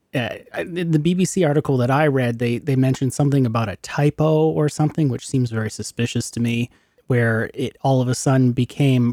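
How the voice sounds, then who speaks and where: With a plain, everyday voice at medium pitch, a man is heard in a dry, close sound with no echo. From Montreal, Canada. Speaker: podcast host. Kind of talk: interview.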